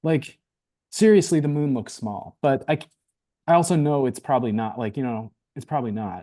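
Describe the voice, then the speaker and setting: A man's fairly high voice, dark and mellow in tone, moves at a fairly quick pace with lively intonation against a quiet background. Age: 40s. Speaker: podcast guest. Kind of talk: casual chat. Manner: halting.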